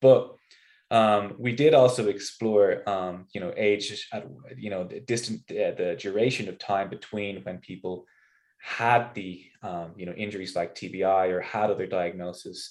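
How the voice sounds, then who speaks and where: A man with an Irish accent talks at a fairly slow pace, his intonation fairly even while his loudness swings widely. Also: fairly low pitch for a man. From Ireland. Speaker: research scientist. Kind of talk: interview.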